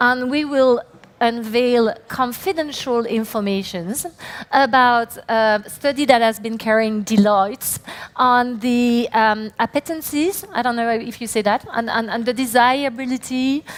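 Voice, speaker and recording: A woman's high pitch with ordinary variation, at a fairly slow pace. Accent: French. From France. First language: French. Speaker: company CEO, conference speaker. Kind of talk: conference talk. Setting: stage with audience. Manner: hesitant, many fillers.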